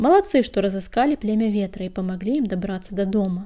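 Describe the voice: The plain reading aloud shows ordinary pitch variation.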